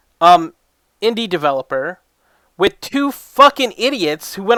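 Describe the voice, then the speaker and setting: Shouting in a raised, projected voice, a man speaks at a moderate pace with a bright, sharp tone and very wide pitch swings, recorded very cleanly against a silent background with a dry, close sound and no echo. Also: big swings in loudness. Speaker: reaction video creator. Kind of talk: reaction commentary. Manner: loud, yelling; animated.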